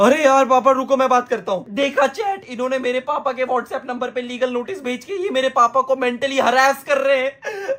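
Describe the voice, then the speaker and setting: Hardly any pauses break the speech, which plays against noticeable background noise. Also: man, extremely high pitch for a man, ordinary pitch variation. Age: 20s. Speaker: YouTube streamer. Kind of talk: reaction commentary. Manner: animated.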